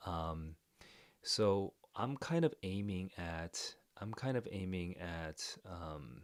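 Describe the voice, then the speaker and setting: Quiet and very slow, a man talks with a very deep, low pitch. His pitch variation is ordinary. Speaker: literature reader reacting to a story. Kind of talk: live reading reaction. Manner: quiet indoor voice; hesitant, many fillers.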